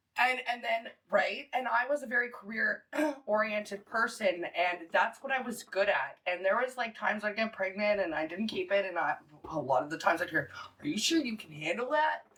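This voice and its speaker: Fairly quick and lively in intonation, a woman with a fairly high pitch talks in an unremarkable speaking voice. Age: 30s. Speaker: podcast panelist. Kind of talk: casual chat.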